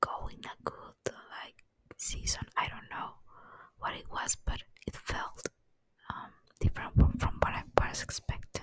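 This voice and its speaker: Someone whispers at a moderate pace. Long pauses come often. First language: not English. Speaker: ASMR rambling vlogger. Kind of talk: casual monologue. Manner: halting, many fillers; soft-spoken.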